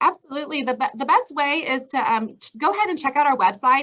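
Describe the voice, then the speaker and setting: A woman's raised, projected voice, bright and sharp in tone, with lively intonation at a fairly quick pace. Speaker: truck rental vendor representative. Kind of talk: interview. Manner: fast; hesitant, many fillers.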